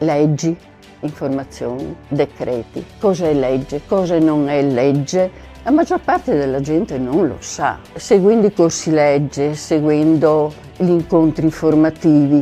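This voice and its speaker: With music in the background, a woman speaks fairly slowly in a very deep, low pitch with ordinary pitch variation. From Veneto, Italy. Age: 70s. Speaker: retired nurse. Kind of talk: testimonial talk to camera.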